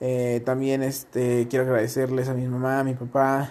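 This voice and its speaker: A man talks at a medium pitch with a Mexican accent. His tone is dark and mellow. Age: 20s. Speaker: podcaster and streamer. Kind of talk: casual vlog monologue. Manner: animated.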